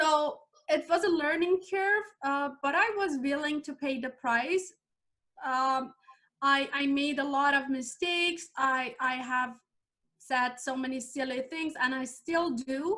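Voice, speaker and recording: A woman with a Persian accent talks at a fairly slow pace in a raised, projected voice. Her tone is bright and sharp, high in pitch with ordinary variation. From Iran. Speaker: life coach and former chemical engineer. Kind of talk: interview. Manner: halting.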